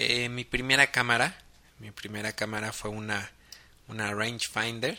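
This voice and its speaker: Fairly slow and fairly even in intonation, a man speaks at a medium pitch in an unremarkable speaking voice. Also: big swings in loudness. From Mexico, Guadalajara, Jalisco. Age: 30s. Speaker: photographer and podcast host. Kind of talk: casual monologue podcast.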